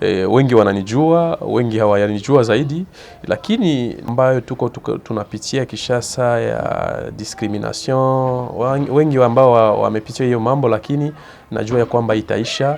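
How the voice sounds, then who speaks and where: A man talks fairly slowly in a medium pitch while noticeable background noise fills the recording. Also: ordinary pitch variation. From eastern DR Congo, South Kivu. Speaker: community figure interviewed. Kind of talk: interview. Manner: hesitant, many fillers and repetitions.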